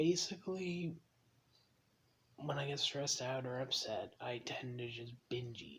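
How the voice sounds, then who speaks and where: Soft-spoken at a medium pitch, a man talks at a fairly slow pace with ordinary pitch variation. His loudness swings widely, and long, frequent pauses break up his speech. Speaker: vlogger living with mental illness. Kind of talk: personal confessional vlog. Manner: quiet, soft-spoken; hesitant, many ums.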